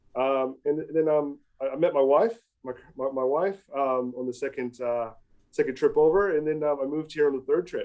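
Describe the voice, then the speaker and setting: Fairly quickly, a man talks in an American accent. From US Midwest, rural Ohio. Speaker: automotive industry consultant. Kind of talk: podcast interview. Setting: podcast. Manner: hesitant, many fillers.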